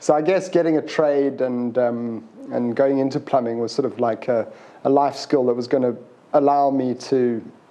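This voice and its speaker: This speaker has a South African accent, fairly even intonation and a moderate pace. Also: man, medium pitch for a man. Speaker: plumber. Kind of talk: interview. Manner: halting.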